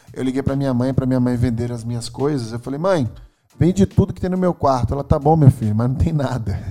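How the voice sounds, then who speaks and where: The voice has a dark, mellow tone and a Northeastern Brazilian accent at a very fast pace. Its loudness swings widely while pitch varies in an ordinary way. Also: man, medium pitch for a man. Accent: Northeastern Brazilian (Alagoas). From Brazil, Maceió, Alagoas (Northeast). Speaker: neuroscientist and tech executive. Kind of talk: casual interview.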